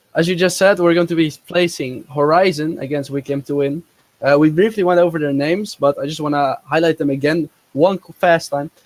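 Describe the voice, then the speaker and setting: A fairly high-pitched man with a non-native accent, fairly even intonation and a moderate pace, in a dry, close sound with no echo. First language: not English. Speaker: esports co-caster. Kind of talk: live commentary.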